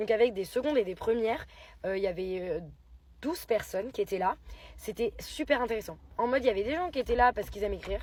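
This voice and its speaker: A woman's fairly high voice rushes along at a very fast pace. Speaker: poet and writing workshop leader. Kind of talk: casual vlog. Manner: animated.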